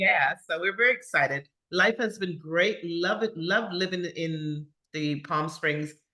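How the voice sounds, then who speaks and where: Speaking at a fairly slow pace with an American accent, a woman uses a fairly low pitch, a bright, sharp tone, and ordinary pitch variation. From US Virgin Islands (Saint Croix). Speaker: podcast guest. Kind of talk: interview conversation.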